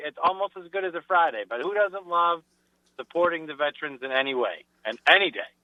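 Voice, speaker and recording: Talking at a fairly quick pace in a Rhode Island accent, a man uses a high pitch and lively intonation. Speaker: business sponsor. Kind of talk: casual chat. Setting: phone call.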